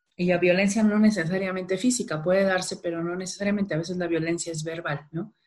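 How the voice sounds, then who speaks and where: A woman talks at a very fast pace with hardly any pauses. Her pitch sits in the medium range. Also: fairly even intonation. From Mexico, Culiacán, Sinaloa. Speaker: behavioral economics strategist and workshop trainer. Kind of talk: casual interview conversation.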